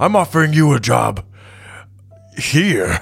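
A put-on character voice speaks at a fairly slow pace over faint music in the background. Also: man, fairly high pitch for a man. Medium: actual play. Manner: self-important, speaks of himself by name.

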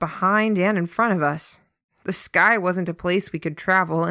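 The clip is someone reading aloud in a natural voice. Nothing much can be heard behind it.

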